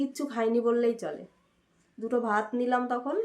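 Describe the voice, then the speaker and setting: The woman's pitch sits high. It varies in an ordinary way. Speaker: vlogger, homemaker. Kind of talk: casual vlog narration.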